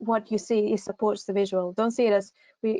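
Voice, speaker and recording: A woman's fairly high-pitched voice with a dark, mellow tone and a Greek accent, at moderate pace, in dry, close sound with no echo. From Greece. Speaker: university recruitment assistant. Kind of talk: online advice session. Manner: hesitant, many fillers.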